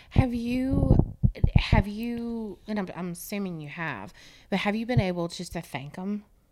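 Her loudness swinging widely, a woman with an American accent speaks at a fairly slow pace with a medium pitch and lively intonation over noticeable background noise. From grew up on US Air Force bases. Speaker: podcast host. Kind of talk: casual interview.

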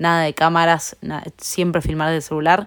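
A woman speaks at a fairly low pitch in a Rioplatense accent. The recording is very clean, with a silent background. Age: 20s. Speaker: fashion entrepreneur. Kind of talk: interview. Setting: company warehouse.

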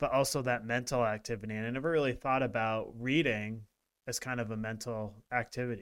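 A normal speaking voice moves at a fairly quick pace with fairly even intonation on a very clean recording over a silent background. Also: man, medium pitch for a man. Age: 40s. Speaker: wellness podcast co-host. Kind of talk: casual chat.

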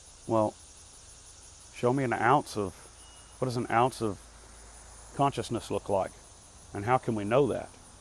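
Medium pitch from a male speaker, moderately paced and fairly even in intonation, broken by frequent long pauses. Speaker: solo podcaster. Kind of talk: casual monologue. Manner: halting.

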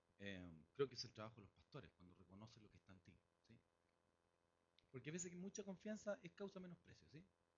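A man with a Chilean accent talks at a very fast pace in an animated tone, his pitch swinging very widely and his loudness in big swings, with long, frequent pauses and a somewhat breathy sound. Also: medium pitch for a man. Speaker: guest preacher. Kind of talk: sermon.

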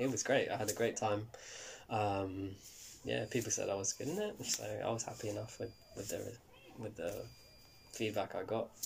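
In a London accent, a man talks at a moderate pace, leaving long, frequent pauses. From West London, England. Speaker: actor. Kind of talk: interview. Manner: halting.

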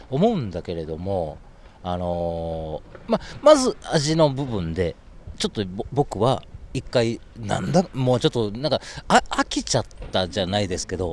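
In a very clean recording with a silent background, a man with a fairly low pitch talks at a fairly slow pace, his pitch swinging very widely. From Japan, Osaka. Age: 40s. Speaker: vegan food brand owner. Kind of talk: interview conversation. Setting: outdoors in a park. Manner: distinctive rhythmic speech.

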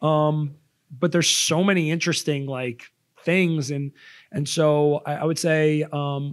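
A fairly high-pitched man is heard on a very clean recording with a silent background. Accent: New York. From Long Island, New York. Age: 30s. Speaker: podcast co-host. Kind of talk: casual chat. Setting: studio.

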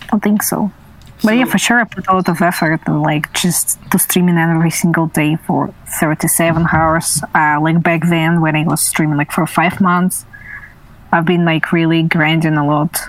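Over noticeable background noise, a woman with a Russian accent speaks at a fairly low pitch, her loudness very even and her intonation fairly even. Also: moderate pace. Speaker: streamer. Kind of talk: casual chat.

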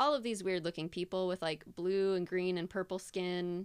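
At a moderate pace and medium pitch, a woman with an unremarkable speaking voice is heard in a very clean recording with a silent background. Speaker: podcast host. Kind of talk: casual chat. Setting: studio.

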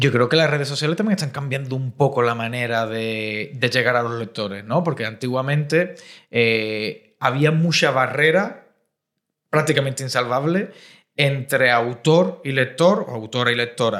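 Here a man has a normal speaking voice, medium in pitch, at a moderate pace with ordinary pitch variation. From Cádiz, Andalusia. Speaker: podcast host. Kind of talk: interview conversation.

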